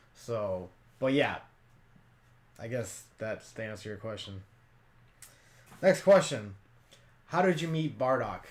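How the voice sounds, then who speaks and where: With very wide pitch swings, a man talks at a medium pitch. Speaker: YouTuber and cosplayer. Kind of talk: Q&A vlog. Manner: casual, rambling with fillers.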